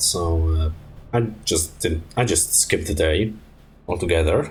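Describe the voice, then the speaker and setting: The voice is somewhat breathy, with lively intonation. It carries a Polish accent. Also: man. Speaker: streamer. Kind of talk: casual gaming stream storytelling. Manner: halting, many fillers and restarts.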